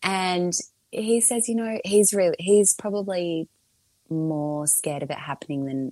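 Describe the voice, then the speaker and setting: A woman with an Australian accent, a fairly low pitch and a dark, mellow tone, against a quiet background. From Melbourne, Australia. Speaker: podcast creator and mother. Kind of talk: casual interview chat.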